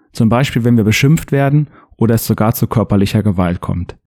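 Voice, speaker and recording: Here a man uses an ordinary speaking voice at medium pitch and moderate pace, with lively intonation and a dry, close sound with no echo. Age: 30s. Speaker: football referee and podcast host. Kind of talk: scripted narration.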